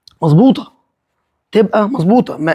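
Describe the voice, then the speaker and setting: A man talks at a fairly quick pace in a high-pitched voice. His tone is animated. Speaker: interior design engineer. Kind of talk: site walkthrough vlog.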